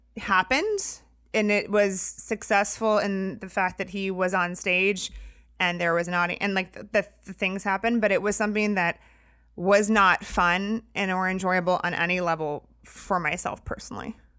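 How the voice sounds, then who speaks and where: In an American accent, a woman with a bright, sharp tone speaks at a moderate pace with monotone, flat intonation on a very clean recording with a silent background. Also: medium pitch for a woman. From US Midwest, Indiana. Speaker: photographer and comedy show producer. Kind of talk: casual interview.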